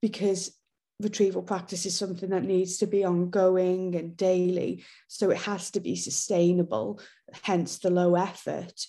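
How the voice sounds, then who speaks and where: In a North Welsh accent, a woman speaks at a moderate pace and medium pitch, her tone dark and mellow and her intonation fairly even. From North Wales. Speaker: teacher and education author. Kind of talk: interview.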